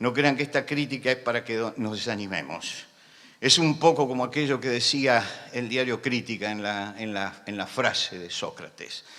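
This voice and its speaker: A man speaks at a moderate pace in a medium pitch. His tone is bright and sharp, with ordinary pitch variation. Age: 70s. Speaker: pastor. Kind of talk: sermon. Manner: loud; impassioned.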